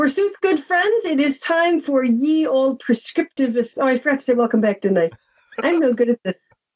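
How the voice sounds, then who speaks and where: A woman speaks in a high pitch at a moderate pace, her pitch swinging very widely. Her loudness stays very even. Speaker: linguist, podcast co-host. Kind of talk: casual roundtable chat. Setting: video call.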